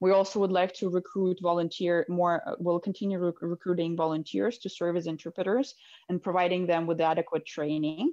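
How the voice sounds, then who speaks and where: The voice has a dark, mellow tone and a non-native accent, with hardly any pauses against a quiet background. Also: woman, fairly low pitch for a woman, fairly even intonation, fairly quick pace. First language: not English. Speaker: medical student and co-founder. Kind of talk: casual interview conversation.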